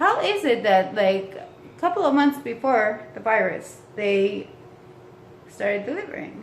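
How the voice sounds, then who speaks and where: Very wide pitch swings and big swings in loudness, with audible room echo and noticeable background noise. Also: woman, fairly high pitch for a woman. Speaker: vlogger. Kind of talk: casual rant to camera. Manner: fast; animated.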